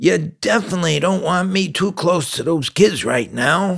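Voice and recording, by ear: A man's put-on character voice, high-pitched, raspy and nasal, at a moderate pace.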